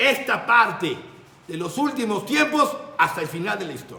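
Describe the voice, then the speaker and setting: A man's raised, projected voice at an extremely high pitch, with very wide pitch swings, a moderate pace, noticeable background noise and audible room echo. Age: 60s. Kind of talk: religious talk.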